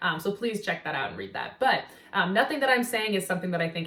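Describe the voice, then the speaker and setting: Over noticeable background noise, someone talks at a very fast pace with an American accent. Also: woman. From US Pacific Northwest, Seattle. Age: 20s. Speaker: nutritional therapy practitioner, vlogger. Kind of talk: casual vlog talk to camera. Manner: casual, many filler words.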